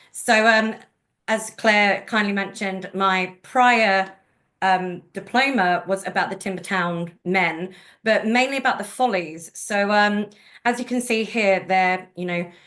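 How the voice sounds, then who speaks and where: A woman with a London accent speaks at a fairly slow pace in a medium pitch, her bright, sharp tone carried on fairly even intonation against a quiet background. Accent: London accent, obvious. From London, England. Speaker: genealogist and presenter. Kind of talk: webinar presentation. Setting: video call.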